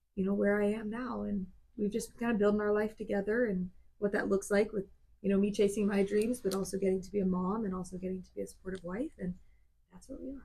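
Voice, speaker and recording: A woman's very fast, medium-pitched voice with an American accent, dark and mellow in tone, somewhat breathy, fairly even in intonation, with big swings in loudness. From US South, South Georgia. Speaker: country singer. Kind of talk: casual chat.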